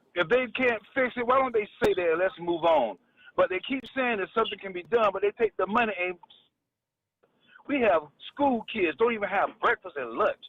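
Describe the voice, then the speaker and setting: A man speaks at a high pitch. His pitch varies in an ordinary way. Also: moderate pace. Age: 60s. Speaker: caller. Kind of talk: call-in comment.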